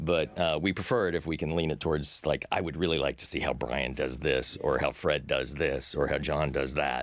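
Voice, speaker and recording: A man's very deep, low voice with vocal fry, very even loudness, a moderate pace and hardly any pauses. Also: ordinary pitch variation. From Texas. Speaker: cartoon producer. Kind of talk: interview. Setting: studio.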